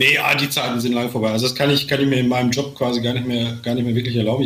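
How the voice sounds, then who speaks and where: A man speaks at a very fast pace in a medium pitch, with monotone, flat intonation. Noticeable background noise runs underneath. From Sauerland, western Germany. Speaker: author, speaker and athlete coach. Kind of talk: casual chat.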